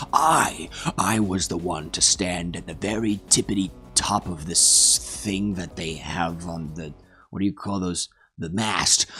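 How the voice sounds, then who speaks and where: This man puts on a character voice with a very deep, low pitch. He speaks at a fairly slow pace. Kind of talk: mock-epic comic storytelling. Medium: solo performance. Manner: rambling, digressive, deadpan.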